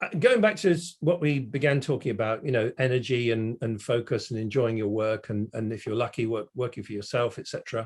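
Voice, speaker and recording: Against a quiet background, a man with a normal speaking voice talks at a fairly quick pace. His pitch is medium, with ordinary pitch variation. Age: 60s. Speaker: automotive industry consultant. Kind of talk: casual interview chat.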